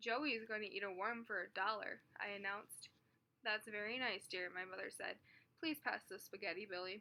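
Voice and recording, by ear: Reading aloud in a natural voice, nothing more.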